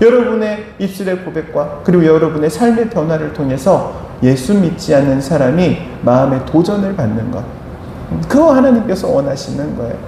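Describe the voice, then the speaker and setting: Over noticeable background noise and audible room echo, a man talks at a moderate pace with a fairly high pitch and very wide pitch swings. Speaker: pastor. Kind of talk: sermon.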